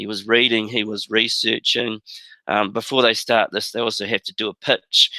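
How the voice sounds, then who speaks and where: The sound is dry and close with no echo as a man with a New Zealand accent speaks at a moderate pace in a bright, sharp tone. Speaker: teacher. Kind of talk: webinar presentation. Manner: halting.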